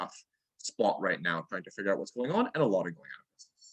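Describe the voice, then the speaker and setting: A man is speaking. The sound is dry and close, with no echo. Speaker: early childhood education presenter. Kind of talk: workshop presentation. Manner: fast.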